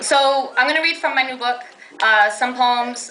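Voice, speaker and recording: Over noticeable background noise and audible room echo, a woman talks fairly quickly in a fairly high pitch. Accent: Brooklyn. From New York, Brooklyn. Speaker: poet. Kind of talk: poetry reading. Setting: stage with audience.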